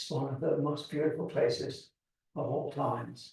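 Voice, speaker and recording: With audible room echo behind him, a man talks at a moderate pace in an English accent. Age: 70s. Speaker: seabird expert. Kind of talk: lecture.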